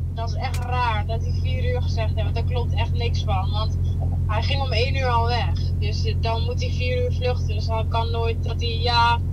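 A man talks at a fairly slow pace. Loud background noise is present. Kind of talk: casual phone conversation. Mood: relaxed, a bit puzzled. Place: car. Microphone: camera far.

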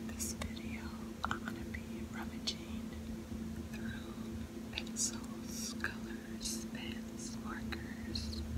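The speech comes at a very slow pace, broken by long, frequent pauses. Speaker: ASMR creator. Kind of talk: ASMR rummaging video, casual talk to camera. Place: home room.

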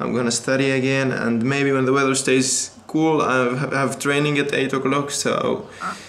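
With monotone, flat intonation, a man speaks at a moderate pace. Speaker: vlogger. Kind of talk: casual vlog chat. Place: home room. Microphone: phone near.

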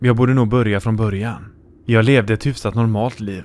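A man talks at a moderate pace in a plain, everyday voice of medium pitch with fairly even intonation. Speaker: horror story narrator. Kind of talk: scripted creepypasta narration, ghost story told in first person. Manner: grave and fearful, dread building.

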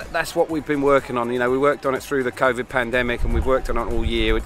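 Clear music plays in the background as a man talks at a very fast pace in a dry sound with no echo. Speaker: rugby coach. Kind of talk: interview answer. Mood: happy, proud after win.

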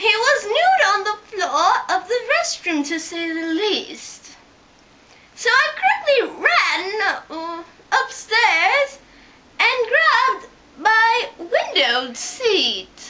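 In a put-on character voice, a female-sounding speaker goes at a very slow pace with extremely high pitch and long, frequent pauses. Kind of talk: rhyming story reading.

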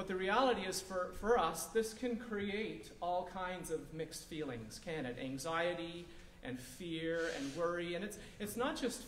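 A man talks at a moderate pace, with light background noise and audible room echo. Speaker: pastor. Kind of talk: sermon. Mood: calm, reassuring. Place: hall.

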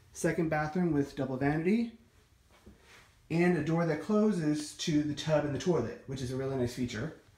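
A man talks in a dark, mellow tone, with audible room echo around him. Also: ordinary pitch variation, moderate pace. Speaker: home tour narrator. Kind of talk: casual walkthrough commentary. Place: home room. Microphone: phone near.

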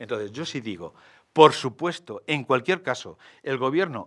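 A man talks at a moderate pace with very wide pitch swings, and the background is quiet. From Madrid, Spain; Spain. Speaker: mayoral candidate, architect; candidate. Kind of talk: political interview. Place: studio. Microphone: studio mic.

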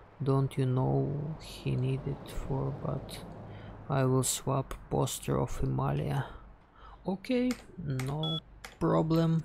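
In a Russian accent, the speaker talks very slowly with long, frequent pauses over noticeable background noise. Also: man. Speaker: game streamer. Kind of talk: casual gameplay commentary.

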